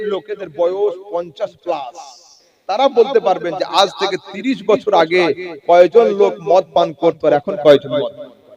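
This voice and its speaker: Heard dry and close with no echo, a man's high voice makes big swings in loudness. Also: lively intonation. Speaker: Islamic preacher. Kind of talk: Islamic sermon (waz) to an audience. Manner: rhetorical, engaging the audience with questions.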